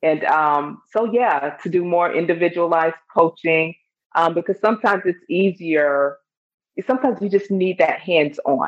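In a Chicago accent, a woman talks at a moderate pace with a fairly low pitch, ordinary pitch variation and very even loudness. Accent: Chicago American English. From US Midwest, Chicago. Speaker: stress and anxiety coach, author. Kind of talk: interview.

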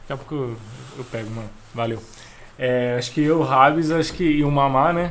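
Pitched fairly high, a man speaks fairly quickly with ordinary pitch variation and long, frequent pauses, and room echo is audible. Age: 20s. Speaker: church member, musician. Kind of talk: casual chat.

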